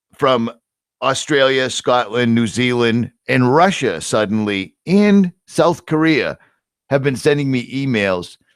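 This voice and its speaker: With a Boston accent and lively intonation, a man of medium pitch speaks at a very slow pace on a very clean recording with a silent background. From US Northeast, Boston. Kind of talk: casual chat. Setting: live stream. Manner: animated.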